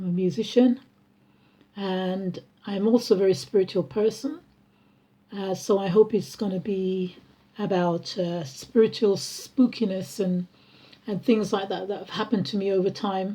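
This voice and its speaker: With a dark, mellow tone and a somewhat breathy quality, a woman at medium pitch talks at a moderate pace with ordinary pitch variation, big swings in loudness, and long, frequent pauses. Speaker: vlogger and musician. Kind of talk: casual personal vlog. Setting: at home. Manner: halting, many fillers.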